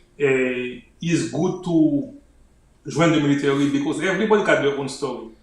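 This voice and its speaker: A man with a fairly high pitch, amid noticeable background noise and audible room echo. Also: ordinary pitch variation, moderate pace. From Haiti. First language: Haitian Creole. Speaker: army officer and author. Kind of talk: interview.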